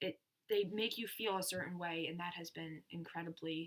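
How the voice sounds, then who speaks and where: This woman has an unremarkable speaking voice. She keeps a moderate pace and fairly even intonation. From United States. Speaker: youtuber. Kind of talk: casual chat.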